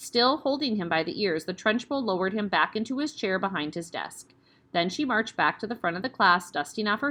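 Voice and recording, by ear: The speaker reads the text aloud in a natural voice, the intonation lively.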